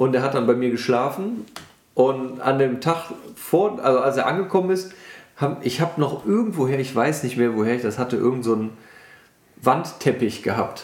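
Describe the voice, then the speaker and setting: With audible room echo, a man speaks at a medium pitch and a moderate pace, his intonation lively and his pauses long and frequent. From western Germany, Bergisches Land (Wermelskirchen). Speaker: car enthusiast. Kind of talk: casual chat.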